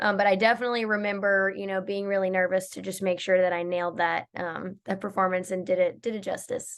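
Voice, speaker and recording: Someone with an American accent speaks at a fairly quick pace in an unremarkable speaking voice over a quiet background. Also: woman. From Georgia, USA. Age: 20s. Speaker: country music singer. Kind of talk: interview answer.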